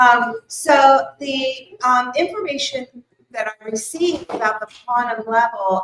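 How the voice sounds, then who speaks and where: Loud, lively intonation at a fairly slow pace. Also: woman. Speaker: spiritual teacher giving a workshop. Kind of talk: workshop talk to a live audience. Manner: loud, projecting.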